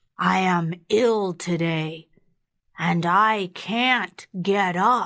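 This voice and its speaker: A woman puts on a character voice at a medium pitch, talking at a very slow pace. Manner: faking a sickly grandmotherly voice.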